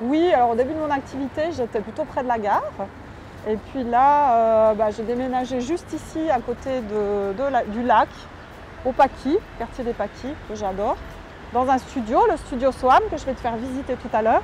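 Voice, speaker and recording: A woman with a high voice and ordinary pitch variation talks at a moderate pace, leaving long, frequent pauses over noticeable background noise. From Switzerland. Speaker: medium and energy healer. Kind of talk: interview. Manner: hesitant, many filler sounds.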